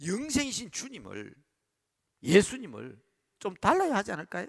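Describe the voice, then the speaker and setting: Using vocal fry, a man talks at a fairly slow pace. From Busan, South Korea. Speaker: pastor. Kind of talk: sermon. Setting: church service, livestreamed.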